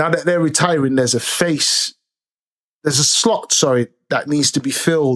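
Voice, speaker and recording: A normal speaking voice from a man, fairly high in pitch, with ordinary pitch variation, very even loudness and a moderate pace. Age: 30s. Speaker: commentary streamer. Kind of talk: casual commentary monologue. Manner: conversational.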